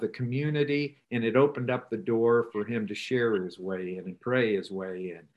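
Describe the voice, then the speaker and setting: With ordinary pitch variation and a medium pitch, a man talks at a moderate pace. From US Midwest, rural northeast Nebraska. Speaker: rural ministry trainer. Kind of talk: interview.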